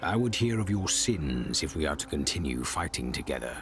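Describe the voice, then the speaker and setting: Over clear background noise, a man puts on a character voice and talks at a fairly quick pace. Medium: video game. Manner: terse, grave.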